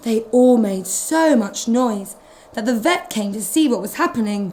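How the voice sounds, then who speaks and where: In a British accent, a woman speaks at a fairly slow pace with lively intonation. Her tone is animated, and there is noticeable background noise. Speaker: nanny from England reading to children. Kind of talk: children's storybook reading. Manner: expressive, animated storytelling with animal sounds.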